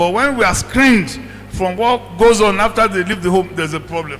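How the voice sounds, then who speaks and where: A raised, projected voice moves at a fairly quick pace with ordinary pitch variation. Noticeable background noise is present. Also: man. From Nigeria. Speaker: residential childcare practitioner. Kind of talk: panel discussion.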